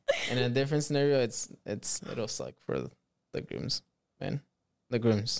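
A man with a non-native accent speaks at medium pitch and a moderate pace, leaving long, frequent pauses. His intonation is lively, and the sound is dry and close with no echo. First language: not English. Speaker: podcast host. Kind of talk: casual chat. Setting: studio.

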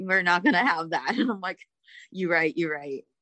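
Heard dry and close with no echo over a quiet background, a woman speaks in a fairly low, bright, sharp voice. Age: 20s. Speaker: former multi-level marketing seller. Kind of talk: interview conversation.

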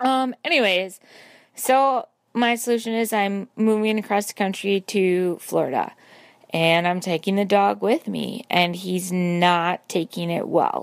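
Fairly slow speech in a normal speaking voice, its pitch varying in an ordinary way. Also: woman, medium pitch for a woman. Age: 30s. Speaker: caller. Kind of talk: voice message.

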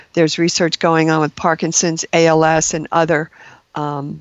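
The speaker keeps a moderate pace. It is a plain, everyday voice. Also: woman. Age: 60s. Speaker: registered nurse. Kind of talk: interview.

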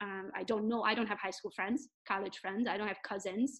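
Speaking at a very fast pace, a woman with a Hungarian accent has a fairly high pitch. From Romania, Hungarian minority. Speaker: real estate agent and social media coach. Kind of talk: interview. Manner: animated.

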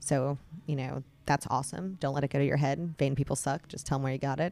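With an American accent, a woman speaks at a very fast pace in a very deep, low pitch with vocal fry. Her intonation stays fairly even. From North Carolina, Raleigh. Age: 40s. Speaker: clothing store owner. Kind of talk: casual interview chat.

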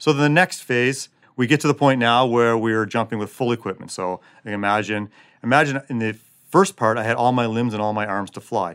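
Spoken at a fairly quick pace with ordinary pitch variation and a Canadian accent, this is an unremarkable speaking voice on a very clean recording with a silent background. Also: man, medium pitch for a man. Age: 40s. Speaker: special forces soldier. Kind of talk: interview.

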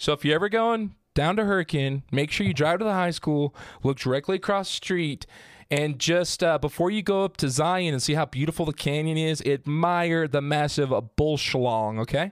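With an American accent, a man speaks at a moderate pace in a fairly high voice with ordinary pitch variation and very even loudness, on a very clean recording with a silent background. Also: dry, close sound with no echo. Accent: small-town rural pronunciation. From southern Utah. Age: 20s. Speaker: podcast host. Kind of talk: casual chat; informal storytelling.

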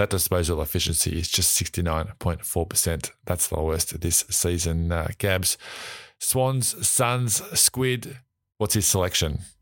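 In a very clean recording with a silent background, a man with an Australian accent speaks at a fairly slow pace with very even loudness and ordinary pitch variation. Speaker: podcast host. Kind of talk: casual sports chat.

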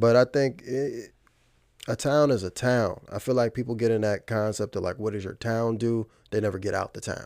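A man speaks at a fairly quick pace with fairly even intonation. The recording is very clean, with a silent background. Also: medium pitch for a man. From Virginia. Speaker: musician and digital marketer. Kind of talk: casual interview chat.

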